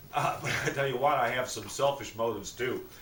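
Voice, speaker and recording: Noticeable background noise and audible room echo surround a man talking at a fairly quick pace. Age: 60s. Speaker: vlogger promoting a supplement. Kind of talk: casual home video sales pitch. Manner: casual, chatty.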